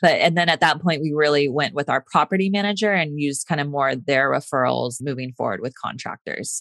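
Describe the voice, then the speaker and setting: A woman in a Californian accent talks at a fairly quick pace with hardly any pauses, her pitch very deep and low. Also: ordinary pitch variation, dry, close sound with no echo. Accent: Californian American. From Northern California. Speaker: nurse and real estate investor. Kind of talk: interview.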